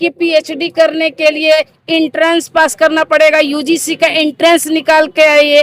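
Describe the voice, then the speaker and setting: The sound is dry and close, with no echo. A woman speaks at an extremely high pitch. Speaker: Ph.D. candidate on hunger strike protest. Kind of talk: interview answer at protest site. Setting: outdoors.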